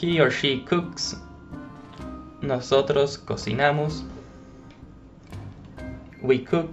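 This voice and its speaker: With music in the background, a man speaks very slowly at a fairly high pitch with ordinary pitch variation, leaving long, frequent pauses. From Argentina. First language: Spanish. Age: 20s. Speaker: language teacher. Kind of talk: language lesson narration.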